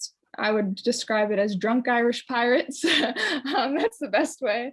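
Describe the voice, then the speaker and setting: A woman with a Newfoundland accent, moderate pace and ordinary pitch variation. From Newfoundland, Canada. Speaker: community development practitioner. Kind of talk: personal sharing in a online conference session. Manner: hesitant, many fillers.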